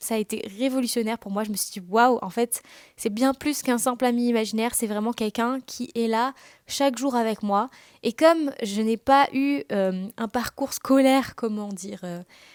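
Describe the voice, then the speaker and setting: Dry and close with no echo, this very clean recording with a silent background has a woman using an ordinary speaking voice, fairly high in pitch with ordinary pitch variation, at a moderate pace, with big swings in loudness. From Réunion. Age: 20s. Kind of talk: casual podcast monologue. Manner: casual, with many fillers.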